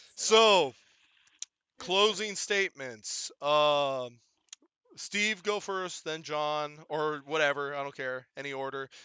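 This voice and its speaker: A man is shouting, loud and with lively intonation. His voice rises and falls a lot as he yells. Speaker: podcast host. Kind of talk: casual chat. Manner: loud, yelling.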